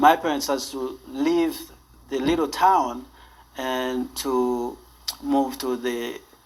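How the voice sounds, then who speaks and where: Spoken with a Haitian accent at a very slow pace, with long pauses coming often. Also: man, fairly high pitch for a man. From northern Haiti. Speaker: charity founder and CEO. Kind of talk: interview. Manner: halting, with many fillers.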